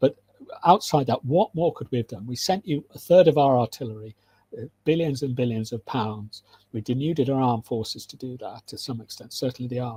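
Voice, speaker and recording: A man with a British accent at medium pitch, somewhat breathy with a dark, mellow tone, a fairly quick pace, ordinary pitch variation and big swings in loudness, in a dry, close sound with no echo. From UK. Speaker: military analyst and lecturer. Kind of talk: interview. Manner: halting, many restarts.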